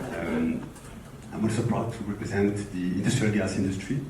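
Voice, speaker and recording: In a strong French accent, a man talks at a fairly low pitch with fairly even intonation, with audible room echo and noticeable background noise. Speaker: industrial company executive. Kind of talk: panel discussion.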